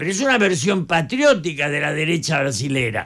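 The man's pitch swings very widely as he talks. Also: quiet background. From Argentina, Buenos Aires area; Argentina. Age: 80s+. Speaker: political analyst. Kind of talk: radio interview. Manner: passionate, animated. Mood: indignant, critical. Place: studio. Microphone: studio mic.

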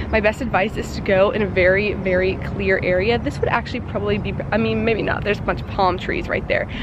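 A woman speaks at a very fast pace with hardly any pauses. The sound is dry with no echo, and noticeable background noise is present. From US South, Georgia. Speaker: vlogger. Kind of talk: casual vlog. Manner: animated. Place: street. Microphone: phone near.

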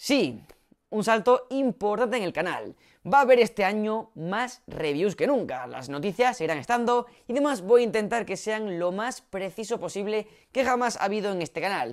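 Against a quiet background, a man speaks loudly in an animated tone at a high pitch, with lively intonation and a moderate pace. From Spain. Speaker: tech YouTuber; tech youtuber. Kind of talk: vlog announcement. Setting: home studio set. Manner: loud, newscaster-like delivery. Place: home room. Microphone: new, better audio setup; lapel.

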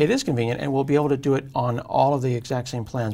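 A man speaks at a medium pitch with ordinary pitch variation and some vocal fry. His tone is slightly mellow and his pace is fast.

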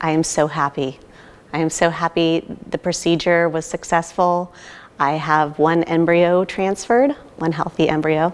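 With an American accent, a woman speaks at a moderate pace in a fairly low pitch with fairly even intonation. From California, US. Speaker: IVF patient. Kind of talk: testimonial. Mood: happy, grateful. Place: hall.

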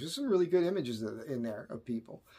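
A man talks fast at a medium pitch, with ordinary pitch variation. His tone is slightly mellow with a slightly husky edge.

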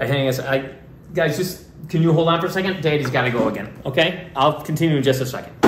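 A man speaks fairly quickly with ordinary pitch variation while noticeable background noise carries on. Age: 50s. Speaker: father of child actors, family vlogger. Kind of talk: casual family video, staged prank. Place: kitchen. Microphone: camera far.

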